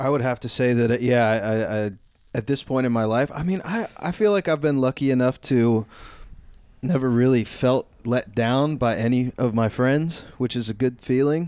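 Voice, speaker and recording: A man mumbles at a medium pitch and a moderate pace. His pitch moves in an ordinary way. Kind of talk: radio dj patter, relaxed stoner-style banter between tracks. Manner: laid-back, slurred and mumbling, stoned, playful and hip-sounding.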